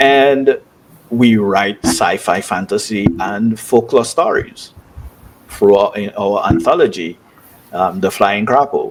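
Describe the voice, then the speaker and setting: Speaking very slowly with a Dominican accent, a man uses a fairly low pitch and lively intonation. Background noise is noticeable. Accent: Dominican accent, kept. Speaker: author and software developer. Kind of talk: interview. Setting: studio. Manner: hesitant, many fillers.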